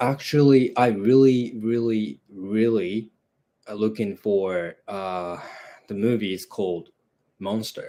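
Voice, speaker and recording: In a Japanese accent, a man speaks at a very slow pace with a fairly low pitch and a dark, mellow, relaxed tone. His pitch variation is ordinary, while his loudness swings widely. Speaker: movie channel host. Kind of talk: casual live stream chat. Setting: live broadcast at home. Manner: relaxed, hesitant with fillers.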